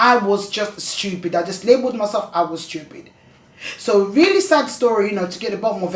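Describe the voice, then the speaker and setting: A woman talks fairly quickly, and audible echo from the room comes through. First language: not English. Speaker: vlogger talking about dyslexia. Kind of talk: personal testimony vlog. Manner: halting, with restarts.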